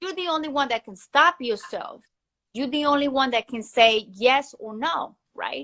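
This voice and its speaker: A raised, projected voice with a bright, sharp tone, big swings in loudness and ordinary pitch variation, on a very clean recording with a silent background. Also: woman, high pitch for a woman, moderate pace. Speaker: entrepreneur, former recording artist. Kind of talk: interview. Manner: animated.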